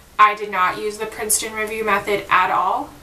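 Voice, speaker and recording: A woman speaks in a fairly high voice. Audible room echo and noticeable background noise surround her. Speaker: student vlogger. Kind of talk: casual vlog. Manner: louder than usual; casual, filler-heavy.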